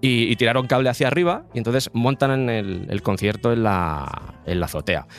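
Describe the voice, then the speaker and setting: A man speaks at medium pitch and a moderate pace. He has an ordinary speaking voice. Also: lively intonation. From Madrid, Spain. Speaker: podcaster. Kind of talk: casual chat.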